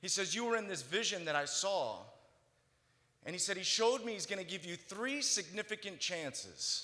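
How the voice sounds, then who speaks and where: A man's raised, projected voice, high in pitch, with an American accent and lively intonation at a moderate pace, amid audible room echo and noticeable background noise. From central California. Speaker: motivational speaker. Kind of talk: testimony. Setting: stage with audience.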